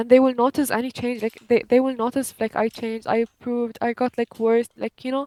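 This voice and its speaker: A woman with a non-native accent speaks at a fairly quick pace in a high, monotone, flat voice, with hardly any pauses and a dry, close sound with no echo. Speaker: gamer. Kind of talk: casual chat.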